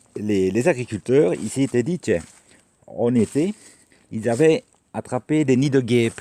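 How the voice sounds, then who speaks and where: With a dark, mellow tone and medium pitch, a man speaks at a fairly slow pace with lively intonation and long, frequent pauses, the sound dry and close with no echo. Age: 60s. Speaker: vlogger. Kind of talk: casual vlog monologue. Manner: hesitant with many repetitions.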